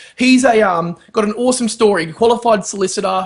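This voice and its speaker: A man speaks with an Australian accent at a high pitch. His tone is enthusiastic. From Brisbane, Australia. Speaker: podcast host, entrepreneur. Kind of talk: video intro and interview.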